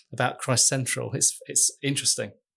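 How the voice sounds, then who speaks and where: A man with a fairly high pitch and a somewhat breathy voice. He talks at a moderate pace. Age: 50s. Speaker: church network leader. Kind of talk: casual chat.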